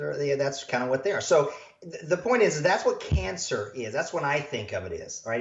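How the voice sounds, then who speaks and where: Animated tone, somewhat breathy. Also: man. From rural US. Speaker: health practitioner, doctor. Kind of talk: podcast interview. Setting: standing during interview.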